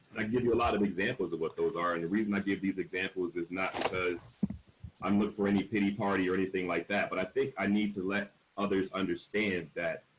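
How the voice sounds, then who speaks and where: With an American accent, a man talks at a very fast pace in a fairly low pitch and fairly even intonation. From Buffalo, New York (Cold Springs). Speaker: university administrator, Marine veteran. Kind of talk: panel discussion, personal testimony. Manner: loud, confident.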